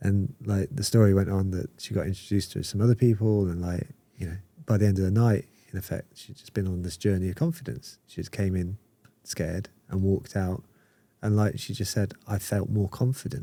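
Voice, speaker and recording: A man with a British accent, fairly low-pitched, at a fairly quick pace, with ordinary pitch variation. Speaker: marketing community founder. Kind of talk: casual podcast conversation. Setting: in-person podcast recording.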